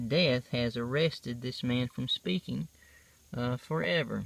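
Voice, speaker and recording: A man talks in a South Carolina accent at a medium pitch with ordinary pitch variation and a relaxed tone. His pace is fairly slow, and the sound is dry and close with no echo. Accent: Southern US, South Carolina. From US South, South Carolina. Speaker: stone carver and craft seller. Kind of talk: show-and-tell tutorial. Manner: relaxed, with filler pauses.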